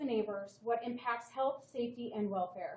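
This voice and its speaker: Loud and high-pitched, a woman speaks. Her tone is dark and mellow. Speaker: town code enforcement officer. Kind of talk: staff presentation to town council. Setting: town council meeting.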